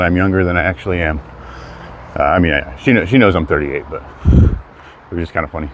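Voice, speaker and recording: A man's very deep, low voice at a fairly quick pace over noticeable background noise. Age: 30s. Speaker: hiking livestreamer. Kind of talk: live stream walk chat. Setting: outdoors on a hike. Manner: casual, rambling.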